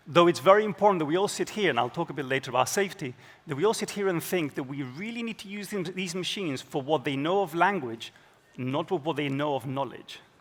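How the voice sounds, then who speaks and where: A man talks very fast with lively intonation and fairly high pitch. Background noise is noticeable. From Spain. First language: Spanish. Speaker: data scientist. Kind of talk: conference keynote.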